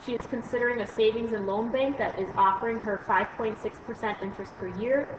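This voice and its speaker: Over noticeable background noise, a woman talks at a fairly quick pace and a fairly high pitch. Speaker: math teacher. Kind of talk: recorded lesson screencast. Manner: fast; hesitant fillers.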